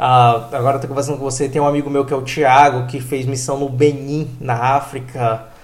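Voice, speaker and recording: Somewhat breathy and fairly high in pitch, a man speaks at a fairly quick pace in a monotone, flat way. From Brazil, Pará (Transamazônica region). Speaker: podcast host. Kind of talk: casual chat.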